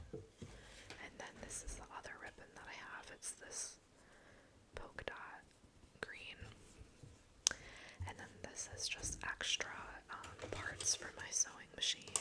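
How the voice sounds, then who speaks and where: Someone whispers at a very slow pace with long, frequent pauses against noticeable background noise. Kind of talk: ASMR show-and-tell. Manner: whispered.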